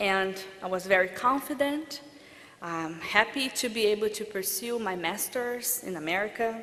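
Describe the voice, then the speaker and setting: The speaker has a Portuguese accent and ordinary pitch variation. Audible room echo is present. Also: woman. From Brazil. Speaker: international law graduate. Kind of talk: commencement speech. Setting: stage with audience.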